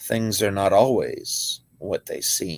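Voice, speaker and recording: This man's speech is very slow. He puts on a character voice. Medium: read story. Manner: calm, measured.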